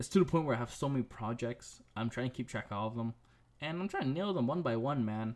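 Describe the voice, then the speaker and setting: Very fast and lively in intonation, a man speaks at a medium pitch. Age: 20s. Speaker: podcast host, designer. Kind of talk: solo casual podcast talk.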